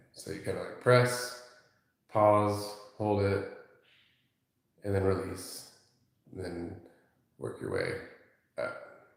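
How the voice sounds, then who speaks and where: Very slow and broken by long, frequent pauses, a man's speech swings widely in loudness against audible room echo. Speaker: massage therapist. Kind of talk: live-stream massage demonstration. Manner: soft-spoken, talking low.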